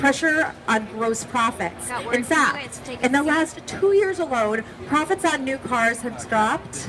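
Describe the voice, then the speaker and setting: Despite noticeable background noise, a woman with a high pitch sounds upbeat, her intonation lively and her pace fairly slow. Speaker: trade show presenter. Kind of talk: live trade show presentation. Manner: upbeat, conversational.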